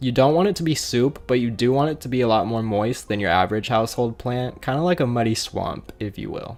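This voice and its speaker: A man at medium pitch, with ordinary pitch variation, a fairly quick pace, hardly any pauses and noticeable background noise. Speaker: aquarium hobbyist YouTuber. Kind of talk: tutorial voiceover. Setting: voiceover recording.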